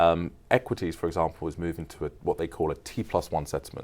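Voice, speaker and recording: With an English accent, a man speaks at a very fast pace in a very deep, low pitch. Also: very clean recording, silent background. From southern England, near London. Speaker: company founder and CEO. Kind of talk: interview. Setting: interview overlooking Chicago River. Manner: hesitant, with fillers and restarts.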